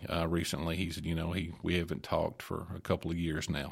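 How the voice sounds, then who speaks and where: A man talks with a very deep, low pitch. The background is silent in this very clean recording. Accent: Kentucky. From Glasgow, Kentucky. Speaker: minister. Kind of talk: casual chat. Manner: halting.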